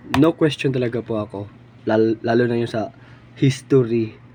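Male speech at medium pitch and a moderate pace, fairly even in intonation, with noticeable background noise. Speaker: political commentary vlogger. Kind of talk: political opinion monologue.

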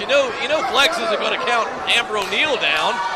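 The speaker is a man whose delivery runs fairly quick. Behind his words sits loud background noise. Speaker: wrestling commentator. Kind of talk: live wrestling play-by-play commentary. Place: hall.

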